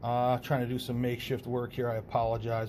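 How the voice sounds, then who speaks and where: Somewhat breathy and at a medium pitch, a man talks at a fairly quick pace amid audible room echo. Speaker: math teacher. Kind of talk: lecture.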